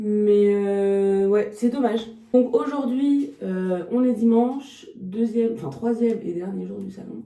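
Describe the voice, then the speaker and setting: Ordinary pitch variation at a fairly slow pace, with audible room echo. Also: woman. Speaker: dog trainer and behaviourist vlogger. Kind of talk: casual vlog talk to camera. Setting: at her stand at a dog show. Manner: hesitant, many filler sounds.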